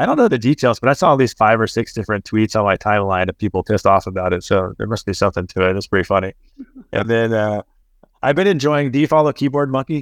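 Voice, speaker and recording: A man's medium-pitched voice with an American accent at a very fast pace, with ordinary pitch variation, a dry, close sound with no echo, and a quiet background. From Texas. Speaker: podcast host. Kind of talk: casual chat. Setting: remote call. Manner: fast, filler-heavy.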